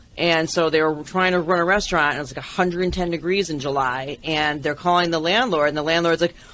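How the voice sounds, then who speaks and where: Very fast speech with hardly any pauses, fairly even intonation, and noticeable background noise. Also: woman, fairly low pitch for a woman. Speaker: restaurant business consultant. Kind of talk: interview.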